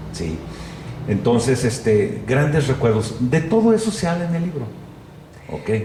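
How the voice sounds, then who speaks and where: Amid noticeable background noise and audible room echo, a man of medium pitch speaks at a fairly slow pace with long, frequent pauses and very wide pitch swings. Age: 60s. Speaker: journalist and photographer. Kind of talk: interview conversation.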